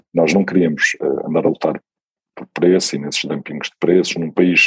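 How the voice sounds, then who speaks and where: In a dry, close sound with no echo, a man speaks fairly quickly. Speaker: tech company CEO. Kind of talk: interview.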